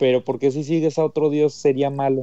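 Recorded with a dry, close sound and no echo, a man with a Mexican accent speaks in a dark, mellow tone. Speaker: podcast co-host. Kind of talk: casual chat.

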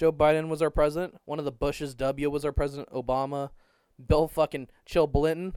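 Recorded very cleanly with a silent background and a dry, close sound with no echo, a man with a normal speaking voice talks at a fairly quick pace and a fairly high pitch. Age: 20s. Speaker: podcast co-host. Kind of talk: casual chat.

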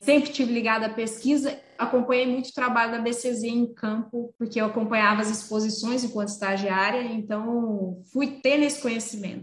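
In a plain, everyday voice, the speaker keeps a moderate pace with hardly any pauses and fairly even intonation. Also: woman, fairly high pitch for a woman. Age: 40s. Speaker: veterinarian. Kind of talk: interview. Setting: video call.

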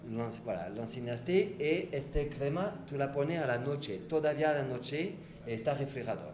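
This man talks at a fairly quick pace with a French accent and a fairly high pitch. His pitch varies in an ordinary way, and room echo is audible. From France. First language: French (speaking Spanish). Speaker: facial massage therapist. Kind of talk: interview. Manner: halting.

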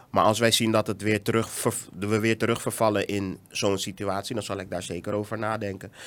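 A monotone, flat delivery over a silent background on a very clean recording. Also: man, fairly low pitch for a man. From Netherlands. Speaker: education entrepreneur. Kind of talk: casual interview. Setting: studio.

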